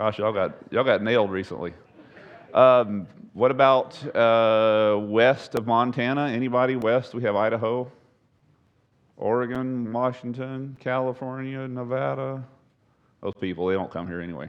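A man with a Texan accent speaks at a moderate pace and a medium pitch, leaving long, frequent pauses. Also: ordinary pitch variation. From Texas. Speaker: pastor / Bible study teacher. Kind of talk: Bible study lecture. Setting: church room with live audience. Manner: conversational, halting with repetitions.

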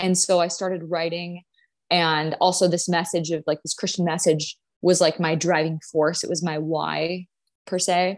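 A woman with an American accent speaks at a moderate pace in a fairly low pitch. Her intonation is monotone and flat, and the background is quiet. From US Upper Midwest, North Dakota. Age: 20s. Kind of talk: podcast interview, casual chat.

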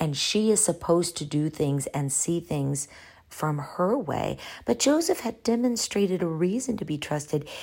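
In a very clean recording with a silent background, a woman talks with an ordinary speaking voice at a fairly low pitch, a moderate pace and lively intonation. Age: 40s. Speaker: podcast host, Bible teacher. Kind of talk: solo Bible teaching podcast.

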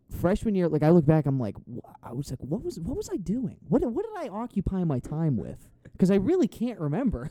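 A man's high voice with very wide pitch swings, big swings in loudness and hardly any pauses, over noticeable background noise. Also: fairly quick pace. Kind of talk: infomercial parody pitch, mock-dramatic ad-copy riffing with friends.

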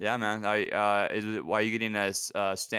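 On a very clean recording with a silent background, a man with a fairly low pitch and a bright, sharp tone speaks at a very fast pace in a US West Coast accent. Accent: US West Coast American. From US Pacific Northwest. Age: 30s. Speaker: aspiring podcaster, gamer. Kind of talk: casual podcast interview.

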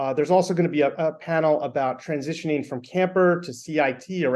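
A man with an ordinary speaking voice talks at a fairly quick pace in a fairly high pitch, his pitch varying in an ordinary way over a quiet background. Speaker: event co-chair. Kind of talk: casual interview chat.

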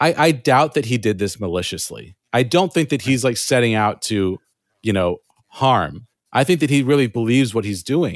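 Over a very clean recording with a silent background, a man speaks in a normal speaking voice at a moderate pace and medium pitch, with lively intonation. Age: 30s. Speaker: podcast creator with chronic illness. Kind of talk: casual interview chat.

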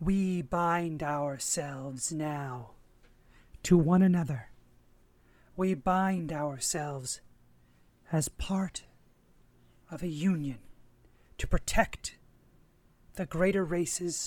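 In a put-on character voice at middle pitch, the speaker moves at a very slow pace with long, frequent pauses. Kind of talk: ritual incantation. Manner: solemn, ceremonial.

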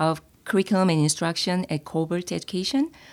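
A woman talks at a fairly quick pace in a Korean accent, her pitch medium. The recording is very clean, with a silent background. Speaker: former teacher, public speaking club member. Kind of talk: interview. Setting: in-person recording at an office.

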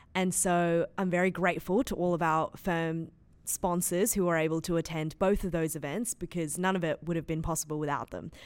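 Fairly even intonation comes with an Australian accent in a very clean recording with a silent background. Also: woman, fairly low pitch for a woman, fairly quick pace. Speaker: law student, student society vice president. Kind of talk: casual chat.

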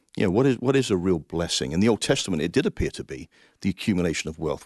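In an English accent, a man with a very deep, low voice speaks very fast in a passionate tone with lively intonation against a quiet background. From England, Coventry. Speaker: Salvation Army officer, finance administrator. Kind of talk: interview.

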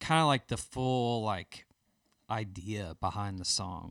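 Delivered with ordinary pitch variation in a Southern US accent, the voice sounds dry and close with no echo. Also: man. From Birmingham, Alabama. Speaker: worship musician. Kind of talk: casual interview.

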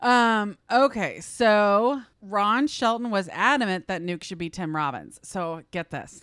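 On a very clean recording with a silent background, a woman speaks very slowly at a medium pitch with lively intonation and hardly any pauses. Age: 40s. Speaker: podcast host. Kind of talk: casual chat. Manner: laughs often.

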